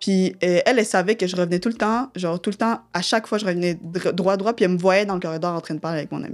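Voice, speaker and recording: A woman speaks at a very fast pace with hardly any pauses. Her medium-pitched voice keeps a fairly even intonation. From Quebec (Sherbrooke), arrived from DR Congo at age 6. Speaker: slam poet, student. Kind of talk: personal testimony interview. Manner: casual, slangy.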